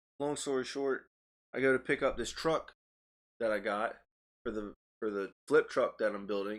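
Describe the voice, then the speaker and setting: A man talking at a fairly quick pace. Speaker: podcast host. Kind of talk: casual chat. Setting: studio. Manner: loud.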